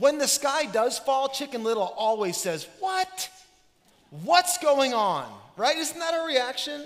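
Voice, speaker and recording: A man at an extremely high pitch and a moderate pace, with music in the background. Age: 30s. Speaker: pastor. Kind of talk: sermon. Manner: animated.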